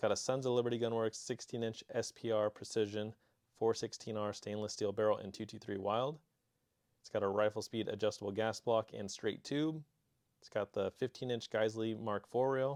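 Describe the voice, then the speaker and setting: Recorded very cleanly with a silent background and a dry, close sound with no echo, a man with an American accent talks at a medium pitch and moderate pace, his loudness swinging widely. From Arizona. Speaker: gun channel host and firearms store worker. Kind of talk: casual vlog talk; product showcase reading viewer submissions. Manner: not very enthusiastic; monotone.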